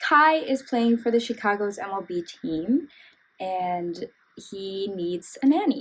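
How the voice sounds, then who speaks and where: Speaking at a very slow pace, a woman uses a fairly high pitch and lively intonation. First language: not English. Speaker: book reviewer. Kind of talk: casual book review vlog. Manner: casual, filler-heavy.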